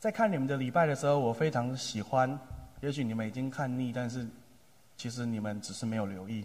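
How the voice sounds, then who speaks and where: Fairly quick speech from a man, medium-pitched, pitch varying in an ordinary way, room echo audible throughout. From Taiwan, Taipei area (Tamsui). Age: 30s. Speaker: pastor. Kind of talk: sermon.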